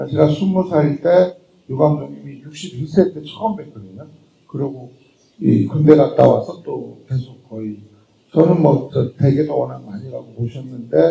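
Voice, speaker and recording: Moderate-paced speech from a man, with big swings in loudness. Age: 50s. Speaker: film director. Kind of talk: post-screening Q&A talk.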